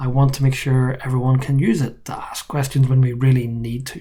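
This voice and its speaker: A man with an Irish accent talks at a fairly quick pace. His medium-pitched voice has a monotone, flat intonation. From Ireland. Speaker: university professor. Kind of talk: course introduction video. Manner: casual, joking.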